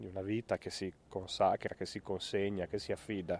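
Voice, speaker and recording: A man with a fairly low pitch and a dark, mellow tone speaks at a moderate pace in a relaxed tone, with monotone, flat intonation. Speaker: priest. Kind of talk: casual live video chat outdoors. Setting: outdoors, walking on a road. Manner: relaxed, reflective.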